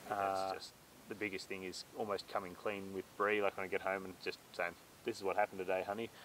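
Talking at a fairly quick pace with an Australian accent, a man's loudness swings widely. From Australia, central tablelands of New South Wales. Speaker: farmer. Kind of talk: casual chat.

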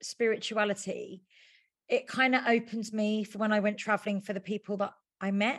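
A woman with a normal speaking voice talks at a moderate pace, her pitch fairly high. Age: 40s. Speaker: witch and author. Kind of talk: casual interview.

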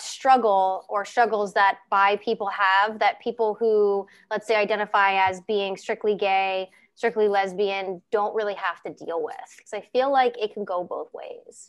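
A woman keeps a moderate pace, with a quiet background behind her. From Ohio, US Midwest. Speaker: podcast host. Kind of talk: casual interview chat.

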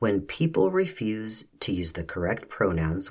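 Somewhat breathy, a man speaks at a fairly slow pace with lively intonation. The recording is very clean, with a silent background. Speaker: podcast host.

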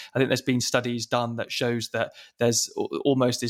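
This man talks at a fairly quick pace, medium in pitch, with a flat, monotone delivery. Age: 30s. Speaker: podcast host. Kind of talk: interview questions. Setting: video call.

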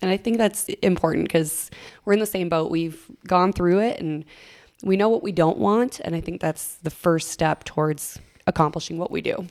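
A woman speaks with an Upper Midwest accent at a moderate pace. Her voice is fairly low, with ordinary pitch variation. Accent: Upper Midwest American. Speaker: radio DJ. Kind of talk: casual chat.

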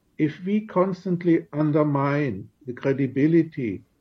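This man's voice is somewhat breathy and fairly high in pitch, with ordinary pitch variation. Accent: German. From Germany. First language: German. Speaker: diplomat. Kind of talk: radio interview.

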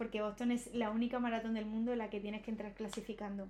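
A woman's monotone, flat delivery over noticeable background noise. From Spain, Alicante province. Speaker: running influencer and marathon runner. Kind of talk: casual chat.

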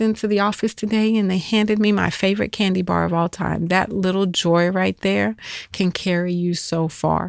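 Speaking at a moderate pace, a woman keeps a fairly low pitch and fairly even intonation. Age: 40s. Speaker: podcast host. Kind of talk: casual monologue. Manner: hesitant, many fillers.

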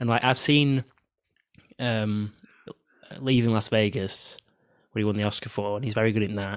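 With a northern English accent, a man of fairly low pitch speaks at a moderate pace with fairly even intonation and long, frequent pauses. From northern England. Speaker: film podcast host. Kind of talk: casual chat.

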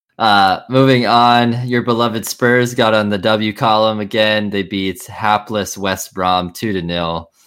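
With hardly any pauses, a man speaks at a fairly slow pace and fairly low pitch in an ordinary speaking voice. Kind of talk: sports commentary, excited call of a goal.

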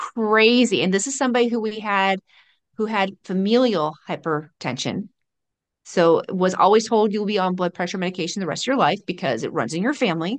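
In a quiet background, a woman with a normal speaking voice talks at a fairly quick pace and medium pitch with lively intonation. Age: 50s. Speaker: pharmacist and nutrition coach. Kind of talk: casual chat.

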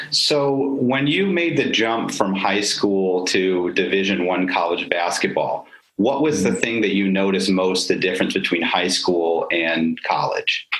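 Lively intonation in an American accent, fairly slow with hardly any pauses and very even loudness, against noticeable background noise. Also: man, fairly low pitch for a man. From Syracuse, New York. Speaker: lawyer and podcast host. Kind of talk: interview.

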